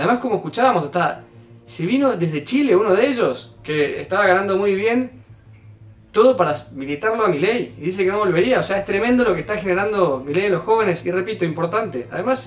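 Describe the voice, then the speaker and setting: The man has a high-pitched voice. His intonation is lively. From Argentina. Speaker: youtuber commenting on political clip. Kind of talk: video commentary. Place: home room.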